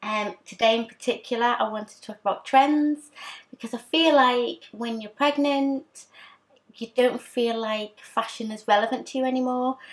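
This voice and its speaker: A woman speaks in a British accent with a high pitch. Her intonation is fairly even and her pace moderate. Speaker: fashion vlogger. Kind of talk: casual vlog talk. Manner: hesitant with fillers.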